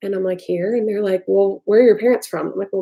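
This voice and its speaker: With an American accent, a woman talks at a very fast pace in a medium-pitched voice with fairly even intonation. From US South. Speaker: vlogger. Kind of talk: casual livestream chat. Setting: livestream.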